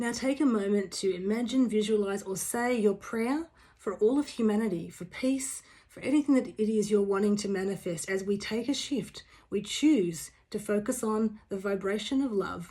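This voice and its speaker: A woman's fairly high, somewhat breathy voice with a dark, mellow tone, ordinary pitch variation and a moderate pace. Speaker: spiritual teacher. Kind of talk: guided meditation.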